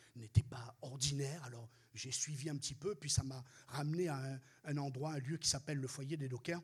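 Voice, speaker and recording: Somewhat breathy, the voice keeps a moderate pace. Its intonation stays fairly even. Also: man. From Réunion. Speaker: pastor. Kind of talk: sermon.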